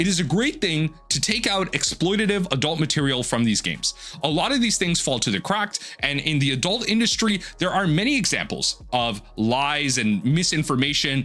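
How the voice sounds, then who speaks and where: A man speaks at a moderate pace in a fairly high pitch, with very wide pitch swings. His loudness stays very even over noticeable background noise. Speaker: gaming and card game commentator. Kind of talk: opinion monologue. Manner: halting, with fillers.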